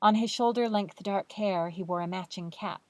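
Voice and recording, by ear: The speaker is reading aloud in a natural voice, with ordinary pitch variation.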